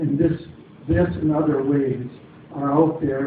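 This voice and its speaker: A man's fairly high voice at a moderate pace with fairly even intonation, amid audible room echo and noticeable background noise. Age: 70s. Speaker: audience member. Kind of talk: public forum question.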